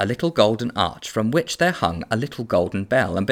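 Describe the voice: This plain reading aloud has lively intonation throughout.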